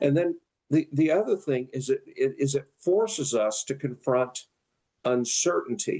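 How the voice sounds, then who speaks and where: A man with a fairly high pitch speaks with lively intonation. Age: 70s. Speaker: retired pastor. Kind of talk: interview. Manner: halting.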